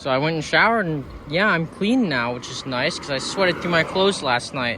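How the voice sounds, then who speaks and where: Over noticeable background noise, a man with an American accent talks at a fairly quick pace, with fairly high pitch and lively intonation. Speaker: hitchhiking travel vlogger. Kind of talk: casual vlog monologue. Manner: casual, profane.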